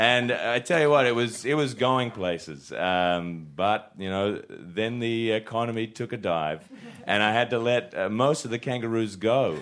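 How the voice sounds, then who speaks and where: A man's ordinary speaking voice at a medium pitch, with ordinary pitch variation and a moderate pace. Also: hardly any pauses. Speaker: comedian panelist.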